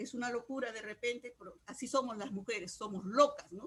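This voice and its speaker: At a fairly quick pace, a woman speaks at a fairly high pitch with ordinary pitch variation. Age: 60s. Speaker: trade unionist and feminist activist. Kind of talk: discussion contribution in online course session. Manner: halting, with many fillers.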